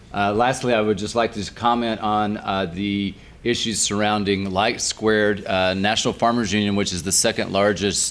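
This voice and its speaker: Fairly low in pitch, a man speaks at a fairly quick pace. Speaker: farm organization lobbyist. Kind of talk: panel discussion. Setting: panel before live audience, restaurant. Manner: loud.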